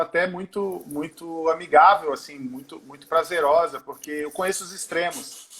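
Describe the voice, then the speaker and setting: A man's high-pitched voice at a moderate pace, with hardly any pauses, big swings in loudness and noticeable background noise. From Brazil, mixed (Pernambuco, Manaus, Porto Alegre). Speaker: singer and musician. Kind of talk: interview. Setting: remote call from home.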